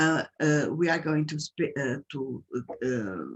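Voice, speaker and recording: A woman speaks with a Portuguese accent. Her voice is very deep and low. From Portugal. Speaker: patient advocate. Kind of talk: webinar introduction. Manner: halting.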